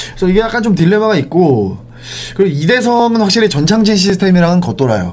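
An animated voice with lively intonation and very even loudness races at a very fast pace over noticeable background noise. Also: man, high pitch for a man. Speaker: sports podcast host. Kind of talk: casual sports talk show chat. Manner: animated, talkative.

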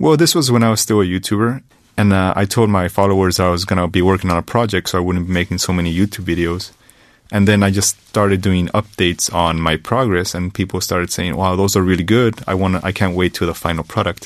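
Speaking at a very fast pace, a man with an American accent uses a very deep, low pitch and fairly even intonation. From US, Texas near the Mexican border. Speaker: photographer and English teacher. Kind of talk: radio interview. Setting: radio studio.

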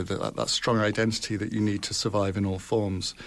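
In a very clean recording with a silent background, a man with a British accent speaks at a moderate pace, fairly low in pitch and fairly even in intonation. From UK. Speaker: foreign correspondent, newspaper bureau chief. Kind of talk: radio panel discussion. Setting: radio studio.

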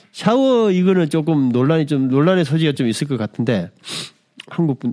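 The tone here is dark and mellow. It belongs to a man. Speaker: podcast host. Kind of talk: solo podcast monologue. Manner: halting, many fillers.

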